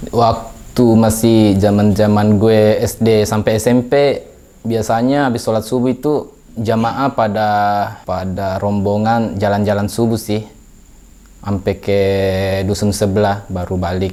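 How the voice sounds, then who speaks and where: Fairly slow, fairly even speech from a man with a fairly low voice. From Indonesia, West Sulawesi (Polewali Mandar). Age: young. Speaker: interviewee. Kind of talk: casual interview. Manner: halting.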